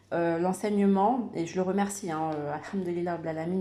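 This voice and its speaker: Audible room echo surrounds a woman speaking at a moderate pace with fairly low pitch and fairly even intonation. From Madagascar, Comoros and Réunion, raised in France. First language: Malagasy (speaking French). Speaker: YouTuber sharing personal faith story. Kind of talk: personal testimony. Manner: halting, many hesitations and repetitions.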